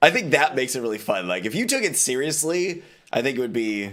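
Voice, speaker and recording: Here is an unremarkable speaking voice with an American accent, lively intonation and a moderate pace. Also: man. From Texas. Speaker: streamer. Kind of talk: casual chat.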